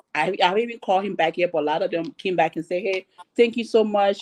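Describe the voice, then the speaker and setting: In a dry, close recording with no echo, a woman uses an ordinary speaking voice at medium pitch with lively intonation. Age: 30s. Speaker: panelist. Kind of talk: panel discussion.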